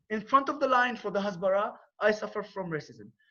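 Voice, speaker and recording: Lively in intonation, a man with an Arabic accent speaks in a raised, projected voice. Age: 30s. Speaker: war veteran and non-profit founder. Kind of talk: presentation on conference call. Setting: video call. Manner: halting.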